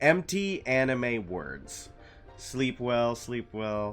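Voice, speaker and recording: Music plays in the background while a man talks at a very slow pace. His medium-pitched voice has very wide pitch swings. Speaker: gaming streamer. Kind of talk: casual livestream talk. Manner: relaxed, chatty.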